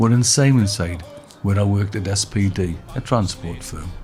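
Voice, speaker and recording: Moderately paced, fairly low speech from a man, music playing behind him. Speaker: poet and playwright. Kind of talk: documentary narration.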